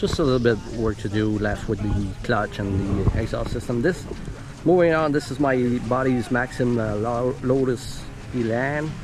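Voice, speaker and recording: Speech in a French Canadian accent with ordinary pitch variation, over music in the background. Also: man, medium pitch for a man, moderate pace. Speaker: car enthusiast YouTuber. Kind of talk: casual walkaround chat. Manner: halting.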